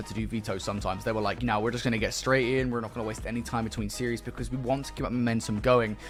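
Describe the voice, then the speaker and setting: In a very clean recording with a silent background, a man with a British accent speaks at a very fast pace. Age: 20s. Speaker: esports caster. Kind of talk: live commentary.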